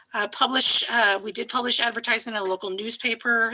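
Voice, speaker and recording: A woman talks at a very fast clip with fairly even intonation over noticeable background noise. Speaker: city planning staff. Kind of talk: staff report presentation.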